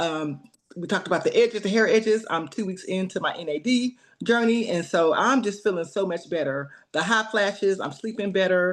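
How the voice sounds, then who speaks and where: Medium-pitched female speech, a normal speaking voice, fairly quick, with ordinary pitch variation and a quiet background. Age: 40s. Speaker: nurse practitioner. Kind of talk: testimony.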